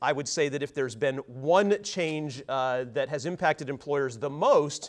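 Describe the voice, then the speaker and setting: A man talks at a moderate pace with a fairly high pitch. His pitch variation is ordinary, and the background is quiet. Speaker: employment lawyer. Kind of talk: seminar presentation. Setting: seminar room with audience, mic'd up. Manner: loud; frequent filler words.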